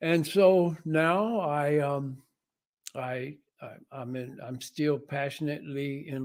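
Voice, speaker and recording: A man speaks with an American accent. His pitch is fairly high, with ordinary pitch variation. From US Midwest (Missouri, then Detroit). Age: 80s+. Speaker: jazz musician. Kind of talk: interview talk about his life. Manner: hesitant, many fillers.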